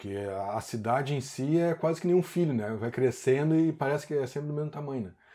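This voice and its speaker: A man talks at a fairly quick pace, his voice fairly high-pitched with a dark, mellow tone. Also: ordinary pitch variation. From Porto Alegre, southern Brazil. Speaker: long-time local resident. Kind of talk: interview.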